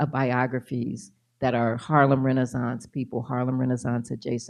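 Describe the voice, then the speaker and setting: This woman speaks with a very deep, low pitch. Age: 70s. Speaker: author and biographer. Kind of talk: lecture Q&A.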